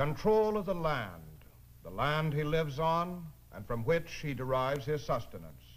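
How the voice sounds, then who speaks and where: Lively intonation fills a man's ordinary speaking voice as he talks at a moderate pace and a fairly high pitch. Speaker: narrator. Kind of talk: documentary narration. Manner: formal, authoritative.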